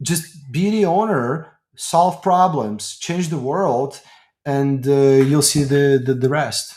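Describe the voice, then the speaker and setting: Very slowly and somewhat breathily, this voice talks with ordinary pitch variation. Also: man, fairly high pitch for a man. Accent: Ukrainian. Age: 30s. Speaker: tech company executive. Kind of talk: interview. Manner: halting.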